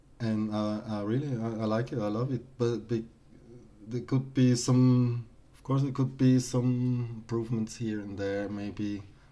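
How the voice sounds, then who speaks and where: A man's medium-pitched voice with a non-native accent, dark and mellow in tone, fairly even in intonation, at a fairly slow pace, with big swings in loudness. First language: not English. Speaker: artist streamer reviewing artworks. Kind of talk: live stream art critique. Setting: live stream. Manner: halting, many repetitions.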